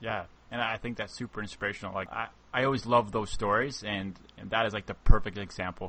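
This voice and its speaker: A man talks at a very fast pace in a fairly low pitch. His intonation stays fairly even while his loudness swings widely. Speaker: podcast host. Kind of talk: casual interview chat.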